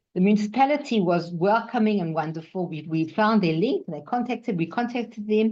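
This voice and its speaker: Hardly pausing, a woman with a dark, mellow, medium-pitched voice speaks at a fairly quick pace with lively intonation. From South Africa. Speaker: new immigrant sharing experience. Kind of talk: personal testimony. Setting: webinar video call. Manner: animated.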